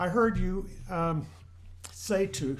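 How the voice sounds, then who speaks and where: His voice is fairly high for a man, with vocal fry and very wide pitch swings. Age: 70s. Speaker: church group member. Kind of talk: group discussion.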